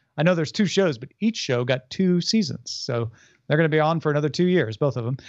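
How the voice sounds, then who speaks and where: At a very fast pace, a man talks in a fairly high voice with lively intonation. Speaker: podcast host. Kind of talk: casual podcast banter and news roundup.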